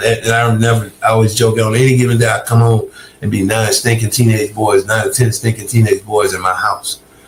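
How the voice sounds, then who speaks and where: A man with an American accent talks at a fairly quick pace. His medium-pitched voice is somewhat breathy. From US South, Augusta, Georgia. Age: 60s. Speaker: recovered addict turned ministry worker. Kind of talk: interview testimony. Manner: halting, frequent repetitions.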